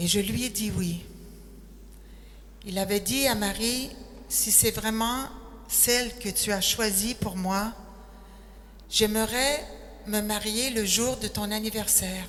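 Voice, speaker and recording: A woman speaking at a very slow pace, with long, frequent pauses and audible room echo. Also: fairly high pitch for a woman. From Quebec, Quebec City. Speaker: retired nurse, missionary. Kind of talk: testimony.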